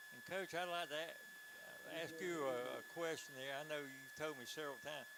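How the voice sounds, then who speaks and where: Someone with a South Carolina accent talks at a moderate pace amid audible room echo. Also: man. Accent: Southern US (South Carolina). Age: 70s. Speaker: color commentator. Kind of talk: live commentary. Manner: animated.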